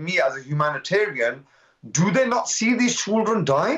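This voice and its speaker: A man with a Birmingham accent, lively intonation and a moderate pace, against a quiet background. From Birmingham, British Kashmiri. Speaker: community activist; guest. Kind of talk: live TV interview. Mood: impassioned, indignant. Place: home room. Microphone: video call.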